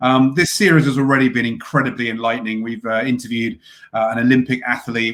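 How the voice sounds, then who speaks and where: A medium-pitched man with a British accent, very fast in pace, with fairly even intonation. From UK. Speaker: podcast host. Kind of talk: interview. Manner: hesitant, many fillers.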